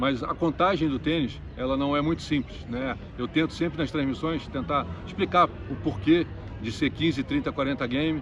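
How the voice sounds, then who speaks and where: This voice has vocal fry, ordinary pitch variation and a moderate pace. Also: man. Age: 60s. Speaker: tennis commentator and coach. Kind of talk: interview.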